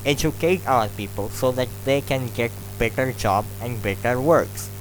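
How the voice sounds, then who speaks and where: Music plays behind a man speaking in a Bangladeshi accent at a fairly slow pace. His pitch is fairly low, with ordinary variation. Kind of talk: extempore speech practice. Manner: slow, clear.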